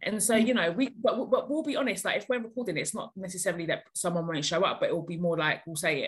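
Somewhat breathy and very fast, a woman talks at a medium pitch with lively intonation. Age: 30s. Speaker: podcast co-host and author. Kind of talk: casual chat.

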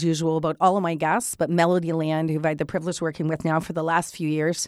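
A woman at a very fast pace, with music in the background. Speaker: podcast host and business strategist. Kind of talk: casual interview chat.

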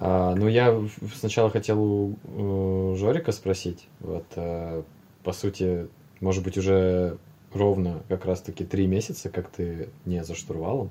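Very slow and very deep, a man's low voice has a dark, mellow tone and fairly even intonation. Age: 20s. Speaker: airline pilot. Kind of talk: casual chat.

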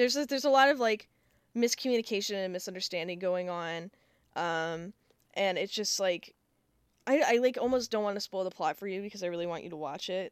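With a normal speaking voice, a woman uses lively intonation at a fairly quick pace in a very clean recording with a silent background and a dry, close sound with no echo. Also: medium pitch for a woman. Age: 20s. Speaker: podcast co-host. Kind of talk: casual chat.

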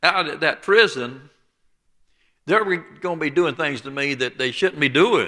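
The voice has a bright, sharp tone. Its intonation is lively. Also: man. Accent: Alabama. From southeast Alabama, US South. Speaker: preacher. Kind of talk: sermon.

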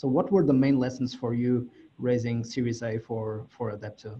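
Somewhat breathy, a man's medium-pitched voice has a dark, mellow tone and fairly even intonation. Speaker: podcast host. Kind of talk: interview.

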